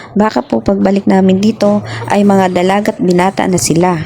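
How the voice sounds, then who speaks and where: A woman with a Visayan accent at medium pitch, moderate pace, and noticeable background noise. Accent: Visayan accent in Tagalog. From Visayas or Mindanao, Philippines. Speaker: vlogger. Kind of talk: casual chat; vlog narration.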